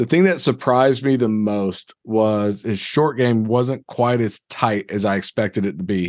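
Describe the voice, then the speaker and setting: A man with a plain, everyday voice, fairly low in pitch with ordinary pitch variation, talks at a moderate pace in a dry, close sound with no echo and a quiet background. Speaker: podcast co-host. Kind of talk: casual chat.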